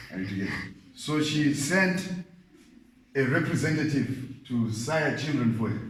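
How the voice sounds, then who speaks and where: A man speaks at a moderate pace with a fairly high pitch and ordinary pitch variation. His long, frequent pauses come through audible room echo and noticeable background noise. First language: not English. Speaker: Bible teacher. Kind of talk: Bible study lecture.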